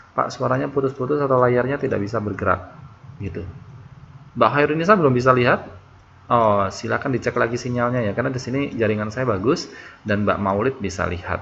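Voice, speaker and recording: Talking at a very fast pace, a man keeps a medium pitch with ordinary variation. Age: 20s. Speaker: online tutor. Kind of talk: online class introduction. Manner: halting.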